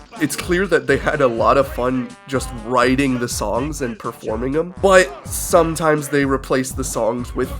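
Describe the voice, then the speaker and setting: Backed by music in the background, a man speaks at a fairly slow pace with hardly any pauses. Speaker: video game and movie reviewer. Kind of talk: casual commentary review.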